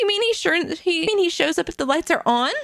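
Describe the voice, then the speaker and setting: A woman's squeaky, put-on character voice at an extremely high pitch, very fast, with lively intonation and very even loudness. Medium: virtual streamer. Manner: polite, cryptic.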